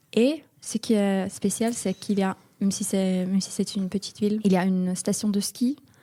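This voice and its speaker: Recorded dry and close with no echo, a woman talks at a fairly quick pace in a medium pitch with a dark, mellow tone. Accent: Finnish. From Finland, small town north of Helsinki. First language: Finnish (speaking French). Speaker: European volunteer. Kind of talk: interview. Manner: halting, hesitant.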